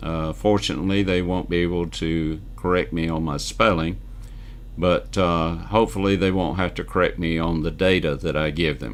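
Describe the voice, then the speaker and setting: With audible room echo, a man with a very deep, low pitch talks at a moderate pace and ordinary pitch variation. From US South, Northwest Georgia. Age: 70s. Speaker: real estate newsletter publisher and video host. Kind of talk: casual monologue to camera.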